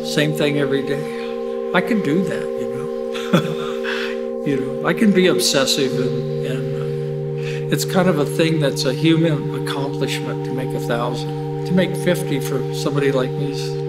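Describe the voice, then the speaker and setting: Speech comes at a moderate pace. Loud noise fills the background. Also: man. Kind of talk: interview answer. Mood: reflective, proud, laughing. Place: hall. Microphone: lapel.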